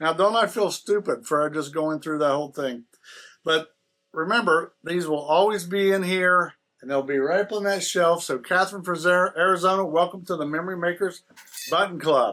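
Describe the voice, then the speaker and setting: Bright and sharp in tone, a man's voice sits at a high pitch. He keeps a moderate pace with ordinary pitch variation. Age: old. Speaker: quilting vlogger. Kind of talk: casual chat, reading viewer letters aloud. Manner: casual, halting.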